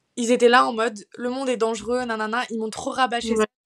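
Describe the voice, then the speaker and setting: A woman with a fairly high pitch speaks at a very fast pace, the sound dry and close with no echo. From France, Paris. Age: 20s. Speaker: student and mental health influencer. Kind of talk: personal testimony in casual interview.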